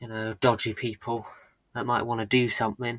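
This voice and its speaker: Heard in a very clean recording with a silent background, a man talks at a medium pitch in a monotone, flat intonation. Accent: slight British. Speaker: live streamer. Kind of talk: casual chat. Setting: live stream. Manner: hesitant, many fillers.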